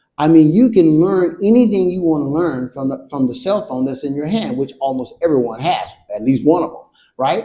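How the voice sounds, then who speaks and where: A dark, mellow tone with very wide pitch swings, in a Southern US accent. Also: man. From Georgia, USA. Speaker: military veteran. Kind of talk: interview answer.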